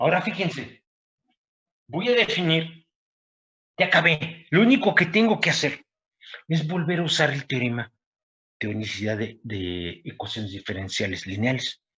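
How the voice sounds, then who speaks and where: With a bright, sharp tone and vocal fry, a man at a fairly high pitch speaks at a moderate pace, making very wide pitch swings and long, frequent pauses. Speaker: university professor. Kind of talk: lecture.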